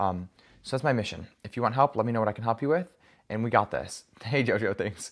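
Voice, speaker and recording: A man with a medium pitch and ordinary pitch variation talks at a very fast pace. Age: 20s. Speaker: life coach. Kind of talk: livestream chat. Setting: live video stream. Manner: casual.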